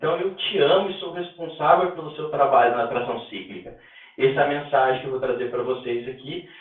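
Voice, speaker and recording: In a room with audible echo, a man talks, his pitch varying in an ordinary way. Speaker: instructor teaching a rehabilitation technique course. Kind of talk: online lecture. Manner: fast.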